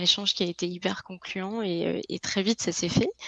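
Speaking at a medium pitch, a woman lets her pitch vary in an ordinary way. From France, Lille. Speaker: business development professional. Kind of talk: interview.

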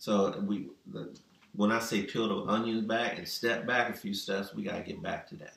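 A man at medium pitch speaks at a moderate pace with vocal fry and ordinary pitch variation. His loudness swings widely, and there is audible room echo. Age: 50s. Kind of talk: casual chat.

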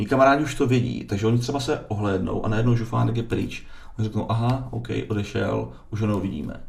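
A man's medium-pitched voice at a very fast pace, with ordinary pitch variation and audible room echo. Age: 40s. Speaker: distiller. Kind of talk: casual interview. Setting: studio.

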